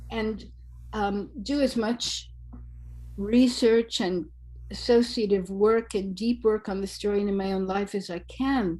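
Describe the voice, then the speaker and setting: A woman speaks in a dark, mellow tone that is somewhat breathy. Her intonation stays fairly even. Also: medium pitch for a woman, fairly slow pace. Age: 70s. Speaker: storyteller. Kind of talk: interview. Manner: halting.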